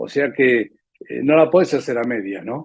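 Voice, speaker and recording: Lively intonation marks this man's speech. He talks in a Rioplatense accent. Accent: Argentine Rioplatense Spanish. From Argentina. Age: 70s. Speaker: veterinarian. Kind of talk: interview, life story.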